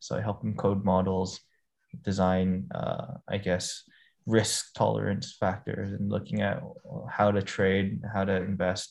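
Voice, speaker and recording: A man speaks at a fairly slow pace in a fairly low pitch, with vocal fry and ordinary pitch variation. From Hong Kong. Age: 20s. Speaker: startup founder and CEO. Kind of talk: interview.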